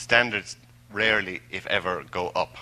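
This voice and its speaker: The voice belongs to a man. He has an Irish accent. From Ireland, Tipperary. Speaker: language assessment expert. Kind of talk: lecture. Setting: stage with audience. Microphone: microphone cutting out.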